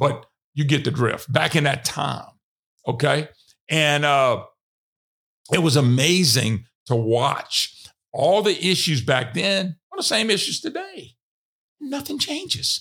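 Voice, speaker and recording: A man with a Louisiana accent speaks at a very slow pace. He leaves long, frequent pauses. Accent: Louisiana Southern US. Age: 60s. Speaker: radio host. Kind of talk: casual monologue.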